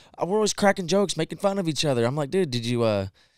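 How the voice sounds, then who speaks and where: In a very clean recording with a silent background, a man speaks very fast in an animated tone, his fairly high pitch making very wide swings. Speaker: podcast host. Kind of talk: casual chat. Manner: fast, hyped, animated.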